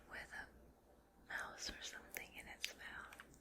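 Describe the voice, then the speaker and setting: A woman whispers in a gentle tone. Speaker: teacher, ASMR creator. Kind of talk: soft storybook read-aloud. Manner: soft-spoken, gentle, slow.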